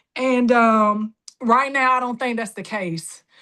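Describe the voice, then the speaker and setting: Against a quiet background, a high-pitched woman with a Southern US accent speaks in a bright, sharp tone with fairly even intonation. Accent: Southern drawl. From Jacksonville, Florida. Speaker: political candidate. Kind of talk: campaign speech. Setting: virtual rally call.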